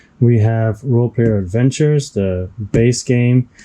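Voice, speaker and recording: Speaking with a non-native accent, a man uses a medium pitch and a dark, mellow tone. His pace is fairly slow and his pitch variation ordinary. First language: not English. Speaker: board game unboxing youtuber. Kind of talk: unboxing video commentary. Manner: casual, with hesitations.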